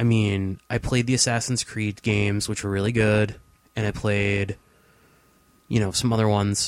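In a very clean recording with a silent background, a man speaks in a monotone, flat intonation with long, frequent pauses. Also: fairly low pitch for a man. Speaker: podcast co-host. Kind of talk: casual chat. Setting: home studio. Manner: slow.

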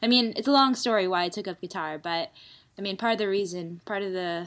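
A woman with an American accent speaks at a fairly quick pace in an ordinary speaking voice, medium in pitch with fairly even intonation, on a very clean recording with a silent background. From United States. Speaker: guitarist and songwriter. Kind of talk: interview.

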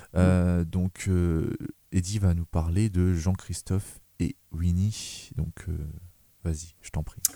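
A man speaks in a very deep, low pitch with fairly even intonation. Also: dry, close sound with no echo. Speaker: film podcast host. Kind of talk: casual chat. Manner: hesitant, many fillers.

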